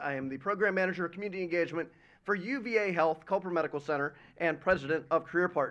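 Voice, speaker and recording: Loud and very fast, a man speaks at a high pitch with lively intonation. His tone is bright and sharp against a quiet background. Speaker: nonprofit president speaking at a school event. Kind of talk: prepared speech. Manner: formal.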